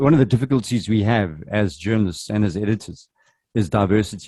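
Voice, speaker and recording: A man with a Zulu accent talks at a fairly quick pace, his fairly low pitch showing ordinary variation and his tone dark and mellow. The very clean recording has a silent background and a dry, close sound with no echo. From South Africa. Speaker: journalism trainer. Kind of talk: workshop presentation.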